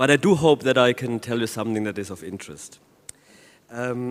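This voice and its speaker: A man with a German accent talks at a fairly quick pace and a medium pitch. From Germany. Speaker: law professor. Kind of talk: conference talk.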